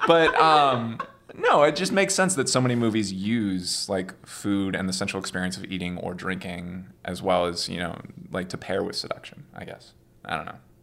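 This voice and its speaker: Over noticeable background noise, a fairly low-pitched man speaks with lively intonation and big swings in loudness. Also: moderate pace. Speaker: guest. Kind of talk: casual chat.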